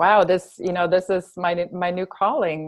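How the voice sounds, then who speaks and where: With a German accent, a woman talks at a fairly low pitch in monotone, flat intonation. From Germany, grew up on a farm. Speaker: health coach, fitness trainer and yoga instructor. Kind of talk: interview.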